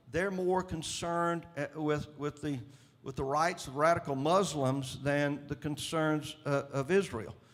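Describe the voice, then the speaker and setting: A man with a Southern US accent, fairly high in pitch, at a fairly slow pace with fairly even intonation. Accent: Southern US drawl. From Mississippi, US. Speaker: state governor. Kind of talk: interview answer. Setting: conference stage.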